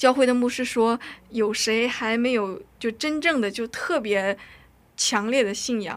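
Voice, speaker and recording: At a very slow pace, a woman speaks with a fairly high pitch. Her loudness swings widely. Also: ordinary pitch variation. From North Korea, raised in China. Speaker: drama student. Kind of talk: testimony. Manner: halting.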